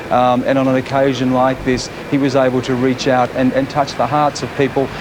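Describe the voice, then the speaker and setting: A man with an Australian accent talks at a medium pitch and a fairly quick pace. Background noise is noticeable. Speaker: TV news reporter. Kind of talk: live TV cross. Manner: halting, many repetitions.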